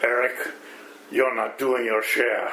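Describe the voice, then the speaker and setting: A man puts on a character voice with a German accent. Clear background noise sits behind him. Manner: scolding.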